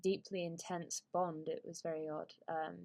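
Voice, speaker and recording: A woman with a British accent speaks at a fairly low pitch, her intonation monotone and flat. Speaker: YouTuber. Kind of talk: casual monologue. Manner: halting, many fillers.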